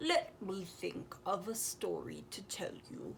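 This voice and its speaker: A put-on character voice at a fairly slow pace, over clear background noise. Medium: read story.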